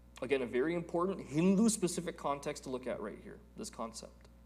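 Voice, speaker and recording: A man's voice carries audible room echo. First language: Telugu. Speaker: Vedanta teacher. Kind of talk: lecture.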